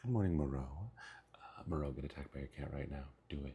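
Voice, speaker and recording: Quiet and somewhat breathy, a man talks at a very fast pace in a very deep, low voice with a dark, mellow tone and ordinary pitch variation. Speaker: streamer. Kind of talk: casual chat. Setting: mobile livestream.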